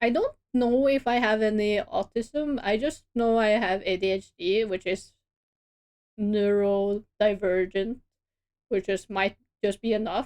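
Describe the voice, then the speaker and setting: A woman speaks with a strong Norwegian accent at a fairly slow pace and in a fairly high pitch. Her loudness stays very even, and her pitch varies an ordinary amount. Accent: strong Norwegian regional dialect. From Norway. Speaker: streamer and artist. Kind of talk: casual chat.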